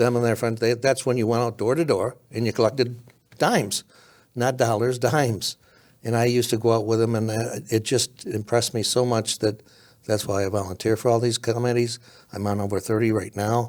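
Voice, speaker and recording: A man with an American accent and an unremarkable speaking voice, fairly quick and fairly even in intonation, on a very clean recording with a silent background. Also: medium pitch for a man. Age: 60s. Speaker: county politician and former sheriff. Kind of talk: casual interview.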